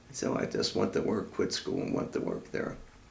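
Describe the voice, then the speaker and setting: With an American accent, the voice carries audible room echo over noticeable background noise. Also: man. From Baltimore, Maryland. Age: 90s. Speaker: war veteran. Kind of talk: oral history interview.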